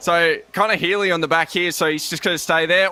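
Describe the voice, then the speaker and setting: Raising and projecting his voice, a man speaks at a fairly quick pace over noticeable background noise. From Australia. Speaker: sim racing commentator. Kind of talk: live commentary. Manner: animated.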